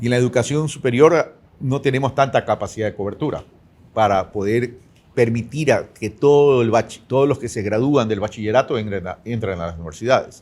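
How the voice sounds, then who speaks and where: A man talks at a fairly quick pace in a plain, everyday voice, with medium pitch and ordinary pitch variation. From Ecuador. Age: 60s. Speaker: presidential candidate. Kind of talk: interview.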